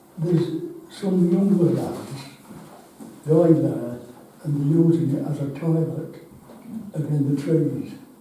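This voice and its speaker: Pausing long and often, a man with a Yorkshire accent and a fairly high pitch talks at a very slow pace with fairly even intonation, over noticeable background noise and audible room echo. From northern England, Yorkshire (Ackworth, near Wakefield). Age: 80s+. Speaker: member of the public at a council meeting, blind resident. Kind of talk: public comment at a parish council meeting.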